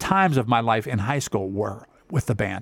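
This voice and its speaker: Pitch swings very widely at a moderate pace, with dry, close sound, no echo, and a very clean recording with a silent background. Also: man. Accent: American. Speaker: music director of a community band, retired music teacher. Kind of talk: radio interview. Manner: halting, many fillers.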